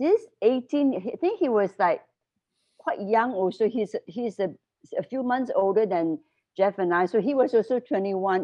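A woman with an unremarkable speaking voice talks at a fairly slow pace, her fairly high pitch carrying lively intonation. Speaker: former school staff leader. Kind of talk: casual interview chat.

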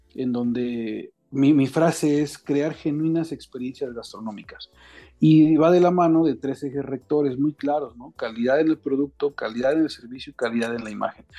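Music plays behind a man who speaks at a moderate pace with a fairly high pitch and ordinary pitch variation. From Mexico City. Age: 30s. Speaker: chef. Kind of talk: casual interview.

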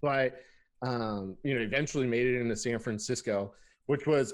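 Against a quiet background, a man with a normal speaking voice and an American accent speaks at medium pitch and a moderate pace, with ordinary pitch variation. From Southern California (Lancaster, Antelope Valley). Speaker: IT pre-sales engineer, podcast co-host. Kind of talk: casual chat. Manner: laughs often, relaxed.

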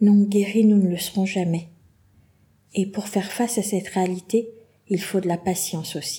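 This woman talks at a moderate pace in a medium pitch, with a monotone, flat intonation and a somewhat breathy, dark, mellow tone. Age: 40s. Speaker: podcast host, kidney patient. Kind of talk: personal monologue.

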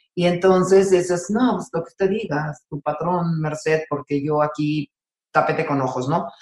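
With a Mexican accent, a woman speaks at a fairly slow pace. Her pitch is very deep and low, with ordinary pitch variation. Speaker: sports psychologist. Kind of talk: interview conversation.

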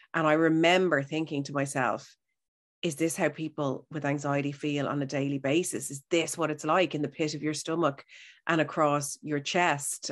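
A woman's very deep, low voice in a Dublin accent, monotone and flat at a moderate pace, on a very clean recording with a silent background. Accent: Dublin Irish. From Ireland, Howth (Dublin). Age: 40s. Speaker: radio broadcaster, health and wellness presenter. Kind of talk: casual interview chat.

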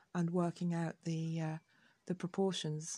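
Somewhat breathy, this woman speaks with an English accent. Her tone is dark and mellow, and her pitch is fairly low. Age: 60s. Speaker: podcaster. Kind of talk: personal monologue. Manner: hesitant.

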